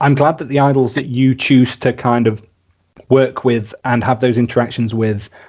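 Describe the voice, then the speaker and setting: Speaking at a medium pitch, a man delivers his lines in a monotone, flat intonation. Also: moderate pace. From rural England. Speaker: podcast host. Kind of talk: casual interview chat.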